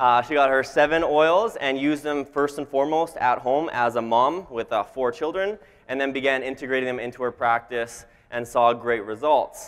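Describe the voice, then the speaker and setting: Medium in pitch, a man speaks in a Canadian accent. He keeps a moderate pace with ordinary pitch variation. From Canada. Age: 20s. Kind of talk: motivational talk. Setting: stage with audience.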